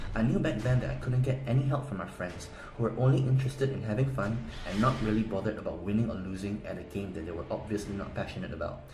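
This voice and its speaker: The man's delivery is very fast, and his intonation is lively. His voice carries audible room echo. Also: medium pitch for a man. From South Korea. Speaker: game guide seller. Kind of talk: sales pitch.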